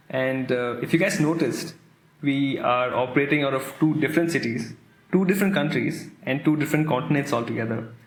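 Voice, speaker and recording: A man talks at a fairly quick pace in a fairly high pitch, with ordinary pitch variation. There is audible room echo and music in the background. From India. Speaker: podcast host, coach. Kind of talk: podcast trailer, scripted chat.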